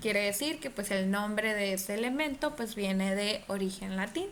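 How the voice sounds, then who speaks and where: This woman's voice sits at a medium pitch with ordinary pitch variation, and audible room echo fills the recording. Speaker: chemistry teacher. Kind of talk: online class lecture. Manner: hesitant, many fillers; speaking more quietly.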